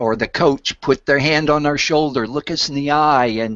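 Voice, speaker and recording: A man's normal speaking voice, fairly high-pitched and at a fairly slow pace. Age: 60s. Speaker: public speaking coach. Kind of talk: interview.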